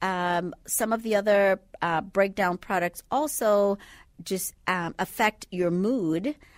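Very slowly, a woman speaks at a medium pitch with ordinary pitch variation, recorded dry and close with no echo on a very clean, silent background. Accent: slight Bahamian. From Bahamas. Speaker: sleep medicine doctor. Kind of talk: radio interview.

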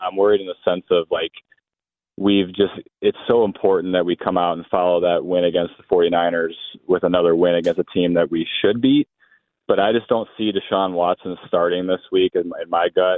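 A man's very deep, low voice at a moderate pace with fairly even intonation. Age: 30s. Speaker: caller. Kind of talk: radio call-in. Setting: phone call.

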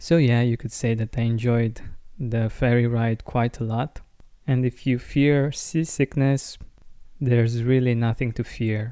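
In a calm tone, a man speaks with a dark, mellow sound and fairly even intonation. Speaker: podcast host. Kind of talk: casual monologue.

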